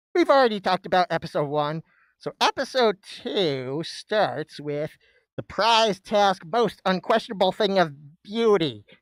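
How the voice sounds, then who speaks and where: This recording is very clean, with a silent background. The speech moves at a fairly slow pace. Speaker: reaction streamer. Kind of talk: live stream commentary. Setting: live stream at home desk. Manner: halting, many fillers.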